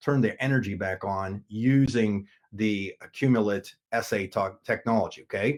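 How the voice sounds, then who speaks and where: This man has an ordinary speaking voice, medium in pitch with ordinary pitch variation. The recording is very clean, with a silent background. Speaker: network marketing team leader. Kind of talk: product presentation.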